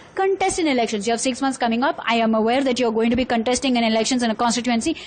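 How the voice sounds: Talking at a very fast pace, a woman uses a fairly high pitch.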